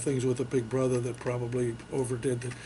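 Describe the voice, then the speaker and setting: At a moderate pace, someone speaks in an American accent amid noticeable background noise and audible room echo. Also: man. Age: 70s. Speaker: Army veteran, veterans council chairman. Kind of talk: oral history interview. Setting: veterans memorial center. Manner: hesitant, many fillers.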